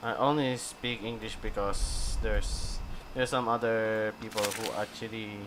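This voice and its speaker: A man talks in a flat monotone over noticeable background noise. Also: medium pitch for a man. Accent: non-native. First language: not English. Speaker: gaming streamer. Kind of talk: live stream chat while building. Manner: slow, halting with many repetitions.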